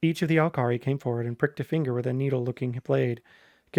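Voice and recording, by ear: Ordinary pitch variation in reading aloud in a natural voice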